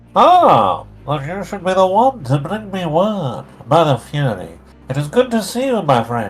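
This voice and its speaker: A man's put-on character voice, high-pitched and nasal, with very wide pitch swings, a moderate pace and music in the background. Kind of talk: archaic, formal.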